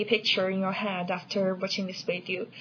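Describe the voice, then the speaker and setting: A woman talking at a fairly quick pace over noticeable background noise. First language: not English. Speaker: educational video creator. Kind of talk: tutorial. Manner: hesitant, with fillers.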